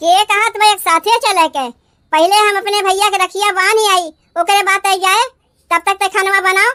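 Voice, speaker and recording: In a cartoonish character voice, a woman talks at a moderate pace with an extremely high pitch and fairly even intonation. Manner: quarrelsome, rustic dialect.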